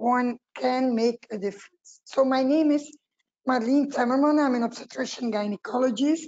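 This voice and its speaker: Fairly slow in pace, the delivery keeps a fairly even intonation. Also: woman. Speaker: obstetrician gynecologist, professor. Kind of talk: webinar presentation.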